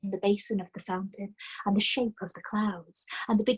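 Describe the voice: There is plain reading aloud over a quiet background.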